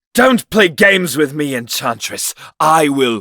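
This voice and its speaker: A man's put-on character voice, fairly high in pitch, with very wide pitch swings and a fairly slow pace. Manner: cold.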